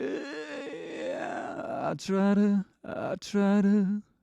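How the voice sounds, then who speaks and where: A gravelly, raspy put-on character voice sits fairly high in pitch and swings very widely. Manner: false chord grit technique.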